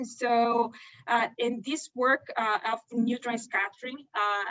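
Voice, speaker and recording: A woman with a Brazilian Portuguese accent speaks at a fairly high pitch with monotone, flat intonation. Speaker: pharmaceutical research scientist. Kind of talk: career talk seminar. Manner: hesitant, many fillers.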